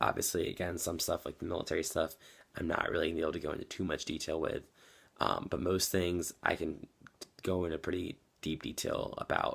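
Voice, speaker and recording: Fairly quick speech from a man on a very clean recording with a silent background. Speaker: vlogger. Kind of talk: video diary. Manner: many fillers, hesitant.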